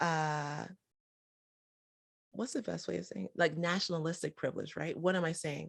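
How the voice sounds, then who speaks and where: Recorded very cleanly against a silent background, a woman with an American accent speaks in an animated tone, her fairly low pitch showing ordinary variation. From United States. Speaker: entrepreneur and podcast host. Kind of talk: podcast interview.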